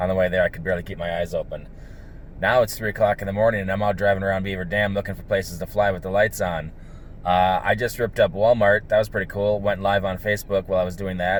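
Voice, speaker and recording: A man speaks at a very fast pace in a fairly low pitch. His intonation stays monotone and flat. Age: 40s. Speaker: drone pilot vlogger. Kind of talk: casual vlog. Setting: outdoors at night.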